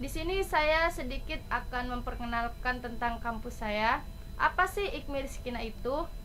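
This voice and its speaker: A woman's high-pitched voice with lively intonation at a moderate pace, with audible room echo and noticeable background noise. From Indonesia, Surabaya (East Java) then West Java. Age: 20s. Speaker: college student. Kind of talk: self-introduction presentation, read from script.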